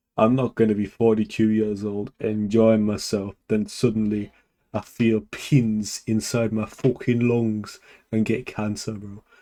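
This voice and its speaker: A man speaks in a British accent with a fairly low pitch and a dark, mellow tone. His delivery is deadpan and monotone, with flat intonation, at a moderate pace. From Britain. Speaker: gaming streamer. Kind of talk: live gameplay stream commentary.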